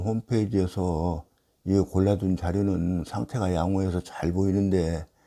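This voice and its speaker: The voice has a dark, mellow tone and monotone, flat intonation at a fairly slow pace. The recording is very clean with a silent background. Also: man. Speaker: classical Chinese text lecturer. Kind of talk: lecture. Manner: slow and careful today.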